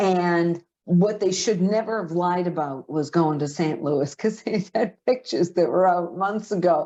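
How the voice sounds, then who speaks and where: A woman at a medium pitch with a Boston accent, speaking at a fairly slow pace against a quiet background. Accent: thick Boston. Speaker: podcast co-host. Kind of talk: casual chat.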